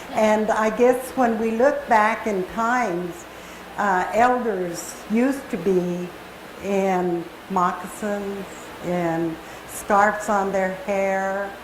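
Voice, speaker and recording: Amid noticeable background noise and audible room echo, a woman speaks very slowly at medium pitch with ordinary pitch variation. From Kamiah, Idaho (Nez Perce). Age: 70s. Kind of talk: personal talk to an audience. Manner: halting, many fillers.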